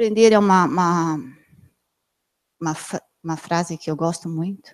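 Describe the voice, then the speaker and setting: This is a woman with ordinary pitch variation. The background is quiet. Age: 40s. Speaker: plastic surgeon giving a health talk. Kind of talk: lecture. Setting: amphitheatre with live and online audience. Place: meeting room. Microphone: handheld.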